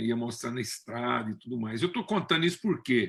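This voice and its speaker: In a very clean recording with a silent background, the voice has a bright, sharp tone and moves at a moderate pace. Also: man. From Brazil, Minas Gerais (Triângulo Mineiro). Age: 60s. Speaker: preacher. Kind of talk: sermon. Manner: conversational, with frequent fillers.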